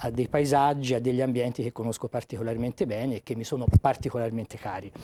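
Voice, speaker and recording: A man with a Tuscan accent talks fairly quickly at a medium pitch, with ordinary pitch variation and a dark, mellow tone. The recording is very clean with a silent background, and the sound is dry and close with no echo. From Tuscany. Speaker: author and magistrate. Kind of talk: TV interview. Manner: measured, with hesitations.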